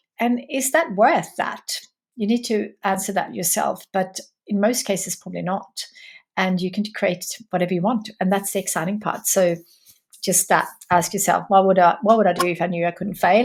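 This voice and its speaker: A somewhat breathy voice at a moderate pace, with ordinary pitch variation. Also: woman, medium pitch for a woman. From Sweden. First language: Swedish. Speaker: entrepreneur. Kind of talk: interview.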